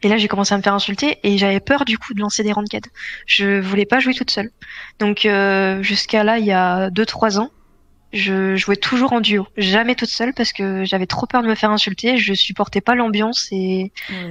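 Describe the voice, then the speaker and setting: Moderately paced, a woman talks at a medium pitch in a normal speaking voice, her intonation fairly even. The sound is dry and close with no echo, and the background is quiet. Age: 20s. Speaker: semi-professional esports player. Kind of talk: casual interview.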